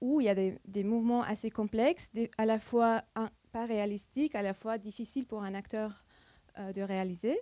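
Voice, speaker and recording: A voice with a dark, mellow tone and a non-native accent speaks at a moderate pace with fairly even intonation, in a dry, close sound with no echo. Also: woman. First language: not French (speaking French). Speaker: computer vision researcher, keynote speaker. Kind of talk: conference keynote talk. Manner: halting, searching for words.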